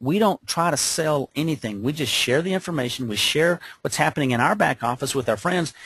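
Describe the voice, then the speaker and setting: A man's fairly high, lively voice at a fairly quick pace. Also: dry, close sound with no echo. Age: 60s. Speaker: business opportunity presenter. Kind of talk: webcast sales pitch. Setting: webcast call. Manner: animated.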